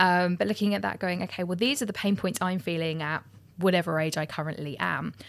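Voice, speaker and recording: Recorded very cleanly against a silent background, a woman with an unremarkable speaking voice talks at a fairly quick pace with ordinary pitch variation. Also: fairly low pitch for a woman. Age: 30s. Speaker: photographer and business podcast co-host. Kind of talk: casual chat.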